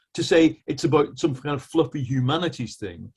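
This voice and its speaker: Speaking at a moderate pace with an English accent, a man uses a fairly high-pitched voice that is somewhat breathy, with a dark, mellow tone. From England. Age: 60s. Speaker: journalist. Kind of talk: discussion.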